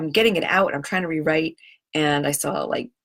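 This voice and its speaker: The recording is very clean with a silent background, and a woman talks in an animated tone. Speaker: money mindset coach and live-stream host. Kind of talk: casual live stream talk to viewers. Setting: live video stream from home computer. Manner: fast.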